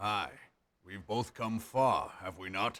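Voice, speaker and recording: A man puts on a raspy character voice with fairly low pitch. He speaks at a fairly slow pace with fairly even intonation. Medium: video game. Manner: hearty, blunt.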